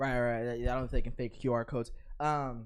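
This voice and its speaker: Very fast in pace, a man speaks at a medium pitch. The background is quiet. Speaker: podcast co-host. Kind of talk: casual chat.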